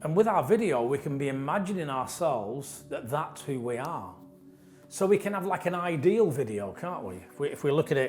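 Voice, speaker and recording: A fairly high-pitched man with a northern English accent speaks at a moderate pace, his pitch swinging very widely and his loudness rising and falling a lot, with audible room echo and music in the background. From northern England. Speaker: trainer and coach. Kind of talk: lecture. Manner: conversational, with repetitions and false starts.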